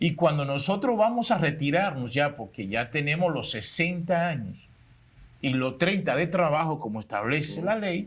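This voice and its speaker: Here a man has an ordinary speaking voice with a fairly high pitch. He talks at a moderate pace. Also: lively intonation. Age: 60s. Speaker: public servant. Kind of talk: panel discussion.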